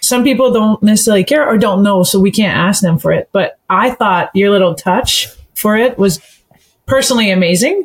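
Fairly high and somewhat breathy, a woman's voice moves at a fairly quick pace. Her loudness is very even, and her pitch varies in an ordinary way. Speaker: podcast co-host. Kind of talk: casual interview chat.

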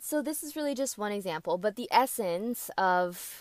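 A woman speaks in an animated tone with very wide pitch swings. The recording is very clean with a silent background, and the sound is dry and close with no echo. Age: 20s. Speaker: podcast host and content creator. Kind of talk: casual solo podcast talk. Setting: rented recording studio.

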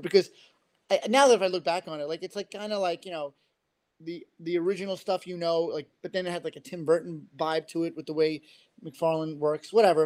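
A man talks fairly quickly in a fairly high pitch with fairly even intonation, the sound dry and close with no echo. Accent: New York. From Queens, New York. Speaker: comic book writer. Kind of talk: casual podcast interview.

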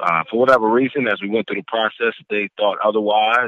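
This man has an ordinary speaking voice with an American accent. His pitch is fairly low and his intonation fairly even. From New York City, Brooklyn. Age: 30s. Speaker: college basketball head coach. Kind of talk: interview.

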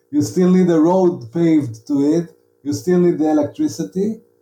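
At a moderate pace, a man speaks in a dark, mellow tone at a fairly high pitch. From Israel, Negev (Arad). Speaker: novelist. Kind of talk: interview. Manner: halting, many repeated words.

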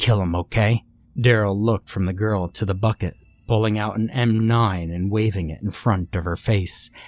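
This is plain reading aloud. Nothing beyond that stands out.

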